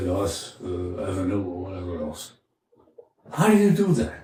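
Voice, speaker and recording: A man's voice carries ordinary pitch variation at a moderate pace, with audible room echo around it. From France, French Riviera. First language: French. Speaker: former Marine, immigrant interviewee. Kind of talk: interview. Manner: halting.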